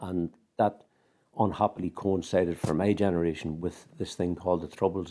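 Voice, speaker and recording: In a Northern Irish accent, the speaker uses a dark, mellow tone with monotone, flat intonation. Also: man. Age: 60s. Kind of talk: interview testimony.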